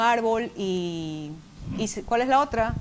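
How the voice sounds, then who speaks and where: Here is a plain, everyday voice. A woman speaks fairly high with lively intonation. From Ecuador. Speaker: language editor and podcaster. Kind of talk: casual chat.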